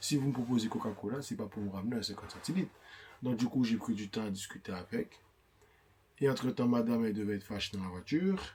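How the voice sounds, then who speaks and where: Pitch moves in an ordinary way through a voice that is somewhat breathy. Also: man. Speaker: vlogger's husband. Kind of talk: casual chat. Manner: animated.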